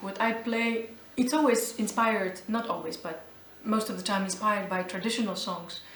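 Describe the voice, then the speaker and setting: A woman at a moderate pace and fairly high pitch, amid noticeable background noise and audible room echo. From Albania, then Geneva, Switzerland. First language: Albanian. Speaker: jazz vocalist. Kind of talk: interview. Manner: halting, with many fillers.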